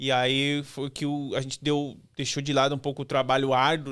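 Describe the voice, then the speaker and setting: Speaking with a southern Brazilian accent, a man talks at a moderate pace in a monotone, flat intonation. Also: very clean recording, silent background. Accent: gaúcho accent, noticeable. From Brazil, rural Rio Grande do Sul (Santa Cruz do Sul). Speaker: former military man. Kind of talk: interview.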